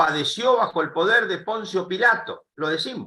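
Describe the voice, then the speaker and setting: The voice is raised and projected, bright and sharp in tone, with lively intonation at a fairly slow pace. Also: man. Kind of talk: panel interview. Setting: live streamed call.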